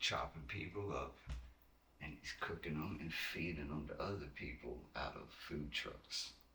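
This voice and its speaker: With a Virginia accent, a man speaks at a fairly slow pace in a bright, sharp tone with vocal fry and ordinary pitch variation, and room echo is audible. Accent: Southern US (Virginia). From Southside Virginia, Keysville. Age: 30s. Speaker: underground rapper. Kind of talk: casual chat. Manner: animated.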